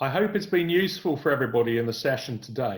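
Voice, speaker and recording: Somewhat breathy delivery from a man with fairly high pitch at a fairly quick pace. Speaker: business consultant. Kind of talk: webinar presentation. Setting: online webinar.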